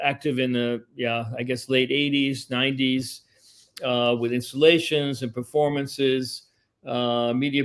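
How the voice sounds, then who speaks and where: A man talks in a medium pitch, his intonation monotone and flat, at a moderate pace. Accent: New York. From New York City. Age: 70s. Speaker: composer and media artist. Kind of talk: interview conversation. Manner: hesitant, many fillers.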